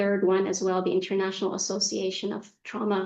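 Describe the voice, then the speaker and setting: A woman with an American accent talks against a quiet background. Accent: American-educated. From Egypt, raised partly in Saudi Arabia. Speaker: executive coach. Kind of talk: interview.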